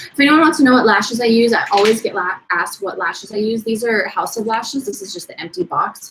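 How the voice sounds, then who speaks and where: The speech runs at a very fast pace with ordinary pitch variation. Its loudness swings widely. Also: woman, fairly high pitch for a woman, hardly any pauses. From Portland, US Pacific Northwest. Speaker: vintage beauty YouTuber. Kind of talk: live stream beauty tutorial chat. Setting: live stream at home, partner filming. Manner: casual, chatty.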